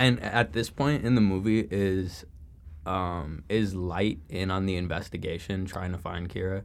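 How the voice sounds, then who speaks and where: A very deep, low-pitched man with a Chicago accent and ordinary pitch variation. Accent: Chicago-area American. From Chicago suburbs, US Midwest. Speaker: college student. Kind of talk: casual chat.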